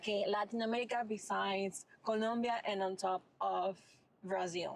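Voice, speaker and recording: A woman with a Venezuelan accent speaks at medium pitch and a moderate pace, her intonation monotone and flat and her loudness very even. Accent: Venezuelan, people mishear it as Minnesota. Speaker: mental health advocate. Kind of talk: casual chat.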